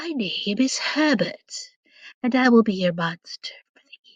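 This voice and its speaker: A female-sounding put-on character voice sits high in pitch for a woman. It moves at a moderate pace. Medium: read story. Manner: polite, mild.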